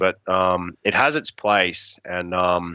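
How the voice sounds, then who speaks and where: A man with an Australian accent speaks with a very deep, low pitch and a bright, sharp tone. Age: 30s. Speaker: bowhunter and hunting outfitter. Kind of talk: casual chat. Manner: animated.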